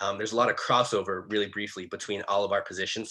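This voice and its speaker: A man speaks with a fairly low pitch and a bright, sharp tone. His intonation stays fairly even. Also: quiet background. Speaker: student club president. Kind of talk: online club meeting presentation. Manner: fast.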